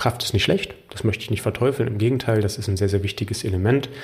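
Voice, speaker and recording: Speaking at a very fast pace, a man with a fairly low pitch sounds somewhat breathy. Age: 30s. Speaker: health coach and podcast host. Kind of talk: personal monologue.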